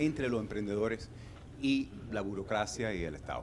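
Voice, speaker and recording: A man speaks at a moderate pace. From Canada. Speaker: audience member. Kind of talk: audience question.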